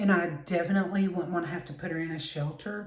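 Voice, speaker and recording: In a Southern US accent, the speaker talks at a fairly quick pace with fairly even intonation, a somewhat breathy voice and audible room echo. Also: woman. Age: 60s. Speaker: beauty vlogger. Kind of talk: casual chat.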